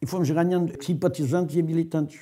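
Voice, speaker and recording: A man's fairly high-pitched voice with a dark, mellow tone, against a quiet background. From Portugal, Alentejo (Grândola); Portugal. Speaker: former political prisoner. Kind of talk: testimony. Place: home room.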